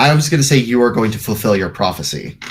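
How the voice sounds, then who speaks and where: A man speaks in a put-on character voice at medium pitch. His pace is very fast. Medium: actual play.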